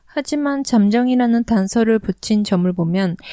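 At a moderate pace, the voice carries a dark, mellow tone and ordinary pitch variation, recorded dry and close with no echo against a quiet background. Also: woman. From Korea, raised in Japan. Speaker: podcast co-host. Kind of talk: casual chat with news reading in Korean.

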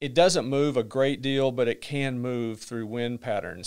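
Fairly even intonation over a quiet background. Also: man. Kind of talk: interview answer. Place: studio. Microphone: studio mic.

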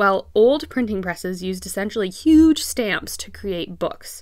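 Recorded very cleanly against a silent background, a woman at medium pitch talks at a moderate pace with lively intonation and vocal fry. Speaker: blogger and artist. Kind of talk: scripted blog narration, educational. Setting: home studio. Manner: casual, friendly.

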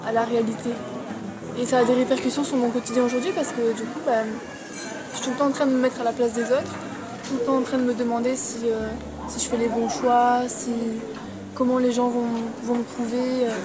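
Fairly quick speech from a woman over clear background music. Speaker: interviewee. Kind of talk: interview answer. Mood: reflective, personal. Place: cafe. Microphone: phone near.

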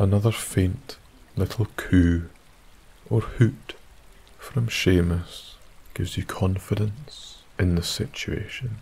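Very slowly and with long, frequent pauses, a man speaks in a soothing, gentle tone. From Isle of Skye, Scotland. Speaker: sleep story narrator. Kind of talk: bedtime story, scripted sleep story narration in second person. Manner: soft-spoken, slow, soothing and gentle, hushed ASMR-style whisper-like delivery.

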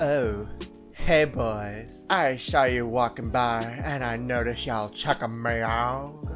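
A husky, put-on character voice speaks at a fairly slow pace with a low-to-middle pitch. Music plays clearly in the background. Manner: flirty, seductive.

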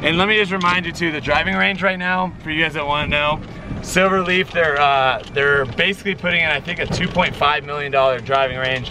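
A man speaks at a fairly quick pace with ordinary pitch variation, the sound dry with no echo despite noticeable background noise. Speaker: golf vlogger host. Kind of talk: casual vlog chat. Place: open country. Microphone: phone near.

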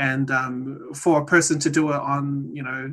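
With a New Zealand accent, a man talks at a fairly high pitch in monotone, flat intonation against a quiet background. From New Zealand, Maori. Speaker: data scientist; presenter. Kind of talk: presentation; lecture. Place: home room. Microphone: video call.

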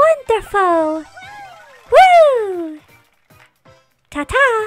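A put-on character voice, squeaky and female-sounding, at an extremely high pitch, with faint music in the background.

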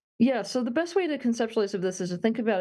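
Over a quiet background, a woman speaks very fast in a dark, mellow tone with lively intonation. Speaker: interview guest. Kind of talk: interview answer. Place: home room. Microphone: video call.

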